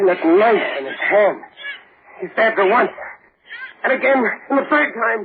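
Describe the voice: A man speaks at a fairly slow pace in a put-on character voice. His pitch is high, with a husky, rough edge. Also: lively intonation.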